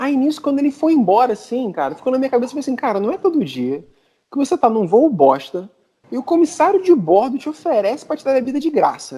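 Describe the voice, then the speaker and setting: With a Brazilian accent, a man speaks very fast at an extremely high pitch in a dark, mellow tone. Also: lively intonation. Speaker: podcast panelist. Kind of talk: casual chat, storytelling.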